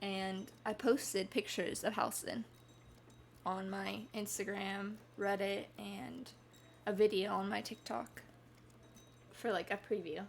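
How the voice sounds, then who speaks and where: With vocal fry and medium pitch, a woman speaks at a fairly slow pace with ordinary pitch variation and long, frequent pauses. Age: 20s. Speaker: gaming streamer. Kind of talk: casual chat.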